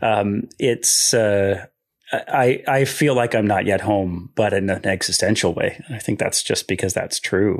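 Pitched fairly low, a man talks at a fairly slow pace with ordinary pitch variation. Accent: American. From US Midwest, southeast Michigan. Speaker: theology professor. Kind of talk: interview.

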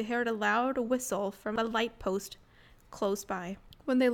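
Reading aloud in an unforced voice

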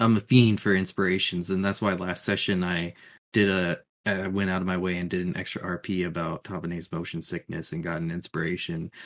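A man with a very deep, low voice talks at a moderate pace and fairly even intonation, on a very clean recording with a silent background. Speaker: podcast co-host, tabletop game player. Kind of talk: casual chat.

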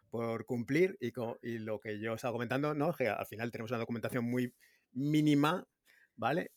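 Recorded very cleanly against a silent background, a man at medium pitch with ordinary pitch variation sounds dry and close, with no echo. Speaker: blockchain developer. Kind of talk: technical discussion.

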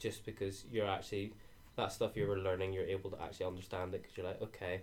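Somewhat breathy and in a Northern Irish accent, a man speaks at a fairly quick pace with a fairly low pitch and monotone, flat intonation. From Northern Ireland. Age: 20s. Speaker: university student. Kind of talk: casual chat.

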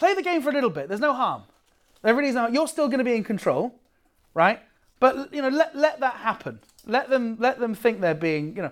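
A man with a British accent speaks at an extremely high pitch with very wide pitch swings and a fairly quick pace, on a very clean recording with a silent background. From Britain. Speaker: comedian and workshop teacher. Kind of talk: workshop lecture.

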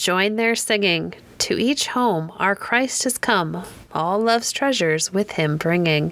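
In a plain, everyday voice, a woman speaks at a medium pitch and a fairly slow pace with lively intonation. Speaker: podcast host reading poems. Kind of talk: poem reading, gentle scripted narration. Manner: warm, lilting, sing-song cadence; soothing, measured.

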